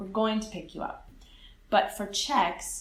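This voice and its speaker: A woman speaks with an American accent in a room with audible echo. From California. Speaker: English teacher. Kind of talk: interview.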